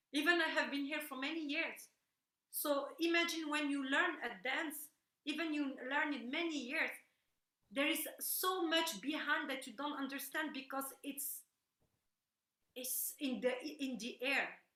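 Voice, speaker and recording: Raising and projecting her high-pitched voice, a woman speaks with a bright, sharp tone, fairly even intonation and a fairly slow pace, leaving long, frequent pauses amid audible room echo. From Morocco-born, raised in Brussels, Belgium. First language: French or Moroccan Arabic. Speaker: belly dancer. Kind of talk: interview conversation. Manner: halting, repeating words.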